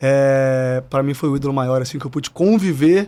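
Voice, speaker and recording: Talking at a fairly quick pace, a man has a plain, everyday voice with a fairly high pitch and ordinary pitch variation. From Brazil, interior of Espírito Santo (Cachoeiro de Itapemirim). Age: 30s. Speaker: retired footballer turned football agent. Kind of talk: podcast interview.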